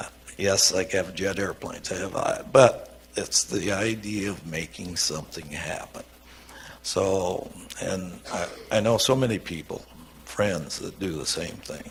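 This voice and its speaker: The man talks at a fairly slow pace with ordinary pitch variation. Audible room echo surrounds his voice. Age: 80s+. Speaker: trucking company founder. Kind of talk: onstage interview. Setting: auditorium with audience. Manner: casual.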